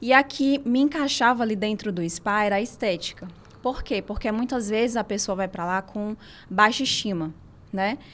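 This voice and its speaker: A woman's fairly high voice in a Ceará accent, at a moderate pace with ordinary pitch variation. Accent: Northeastern Brazilian (Ceará). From Ceará interior and São Paulo, Brazil. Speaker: physiotherapist and spa owner. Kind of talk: interview.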